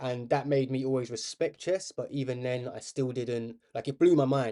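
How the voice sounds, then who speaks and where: A man speaks at a medium pitch, his tone dark and mellow. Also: quiet background. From South London. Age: 30s. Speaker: chess streamer. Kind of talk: live stream commentary while playing chess. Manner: casual, rambling chatty.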